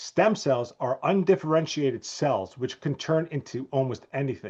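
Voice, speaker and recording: Somewhat breathy and with lively intonation, this voice moves at a moderate pace with a New Jersey accent. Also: man, fairly high pitch for a man. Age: 50s. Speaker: chiropractor. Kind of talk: interview.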